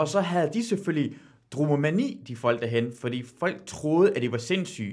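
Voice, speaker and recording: The man has an unremarkable speaking voice, pitched fairly high, with lively intonation. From Iran. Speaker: quiz show guest, TV host. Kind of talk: casual chat.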